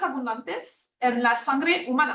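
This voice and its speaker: A woman with a French accent speaks in a high pitch at a fairly slow pace. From France. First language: French (speaking Spanish). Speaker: immunology researcher. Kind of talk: lecture. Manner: halting, with many fillers.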